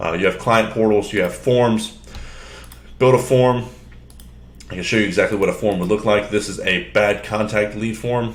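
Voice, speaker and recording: Audible room echo surrounds a man with a fairly low pitch. His intonation is fairly even, with long, frequent pauses. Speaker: software demo presenter. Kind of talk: tutorial. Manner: fast; casual, filler-heavy.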